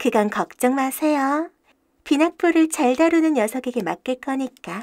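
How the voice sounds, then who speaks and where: A female-sounding put-on character voice, high in pitch, carries a smug tone at a moderate pace. The recording is very clean, with a silent background. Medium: audio drama. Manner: smug, politely mocking.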